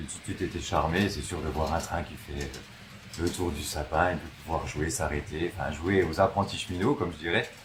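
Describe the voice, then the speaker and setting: At a moderate pace, a man with a very deep, low voice talks with ordinary pitch variation. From France, Haute-Marne (Langres). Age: 20s. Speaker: railway modeller. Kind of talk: interview. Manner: halting, many fillers.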